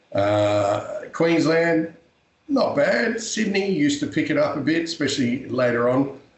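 With an Australian accent, a man speaks at a fairly slow pace using very wide pitch swings. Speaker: professional wrestler and actor. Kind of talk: interview.

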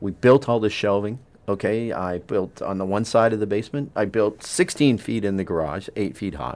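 A man speaks in an ordinary speaking voice, with hardly any pauses and ordinary pitch variation. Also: fairly low pitch for a man. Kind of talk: radiothon on-air chat, friendly pledge-drive banter offering giveaways. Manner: chatty, eager and jovial, overlapping in quick back-and-forth.

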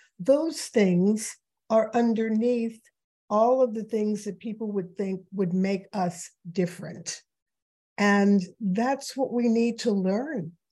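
Speaking very slowly with a New York accent, a woman uses a fairly high, somewhat breathy voice. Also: ordinary pitch variation. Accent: New York American. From New York City. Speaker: author and diversity consultant. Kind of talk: conversational interview. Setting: video call.

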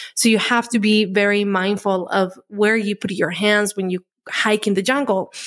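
Her intonation monotone and flat, a woman holds a medium pitch at a moderate pace. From Colombia. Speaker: podcast host on plant medicine. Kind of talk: casual interview conversation.

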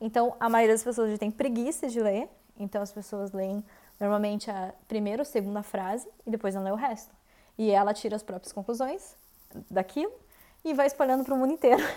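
Her tone dark and mellow, a woman speaks at a fairly quick pace and fairly high pitch with ordinary pitch variation. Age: 30s. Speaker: podcast host, vegan content creator. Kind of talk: solo monologue podcast. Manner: casual, conversational.

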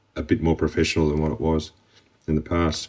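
Here a man speaks with an Australian accent. His pitch is very deep and low. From Australia, Melbourne. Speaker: construction company director. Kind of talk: interview. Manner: hesitant, with fillers.

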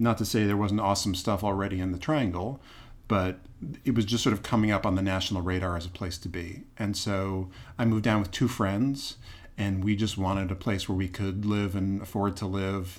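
This man has an unremarkable speaking voice, fairly low in pitch, moving at a fairly quick pace with fairly even intonation. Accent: American. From US Northeast, Boston. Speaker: theater producer and actor. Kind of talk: interview conversation.

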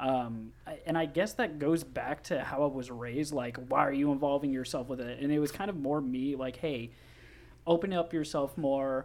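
Someone speaks at a moderate pace in an ordinary speaking voice with ordinary pitch variation. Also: man, fairly high pitch for a man. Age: 20s. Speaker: podcast guest. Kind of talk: casual chat.

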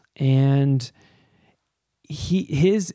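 Heard in a very clean recording with a silent background, a man speaks with a Canadian accent. His fairly high pitch varies in an ordinary way, and his tone is dark and mellow. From Ontario, Canada (Pickering, east of Toronto). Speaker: anxiety coach and podcaster. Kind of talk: personal monologue. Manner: halting, many repetitions and fillers.

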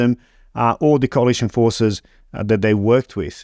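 Against a quiet background, a man with an unremarkable speaking voice talks at a fairly quick pace and medium pitch, his intonation fairly even, the sound dry and close with no echo. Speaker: podcast host. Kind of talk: casual interview.

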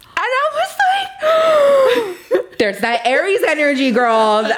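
A woman with an American accent speaks in very wide pitch swings. Noticeable background noise runs behind her. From Boyle Heights, Los Angeles. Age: 30s. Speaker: apothecary owner and tarot reader.

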